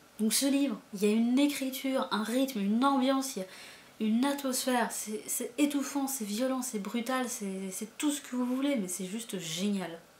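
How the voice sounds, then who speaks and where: A woman speaks at a moderate pace with a high pitch and ordinary pitch variation. Noticeable background noise can be heard. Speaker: booktuber, book reviewer. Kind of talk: casual book review vlog. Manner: animated, hesitant with many fillers and repetitions.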